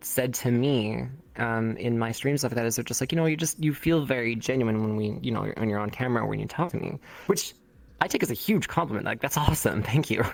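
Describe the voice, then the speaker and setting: This man talks at a fairly quick pace, his medium pitch showing ordinary variation. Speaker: streamer. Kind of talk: casual chat. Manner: animated, ranging from calm to explosive; fast, halting with many fillers.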